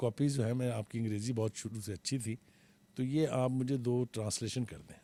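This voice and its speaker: A man's dark, mellow voice sits at a medium pitch on a very clean recording with a silent background. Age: 70s. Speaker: veteran journalist and TV analyst. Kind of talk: interview.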